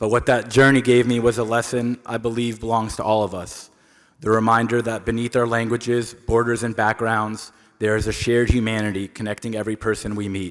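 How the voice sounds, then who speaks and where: A man at medium pitch, fairly quick in pace, his intonation flat and monotone. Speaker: award honoree, long-distance cyclist. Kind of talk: acceptance speech. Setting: stage with audience at awards ceremony.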